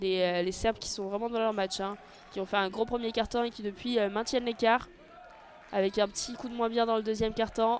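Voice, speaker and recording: Her monotone, flat intonation and fairly high pitch come at a fairly quick pace as this woman speaks. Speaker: audio-description sports commentator. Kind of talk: live commentary. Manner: fast; hesitant, many fillers.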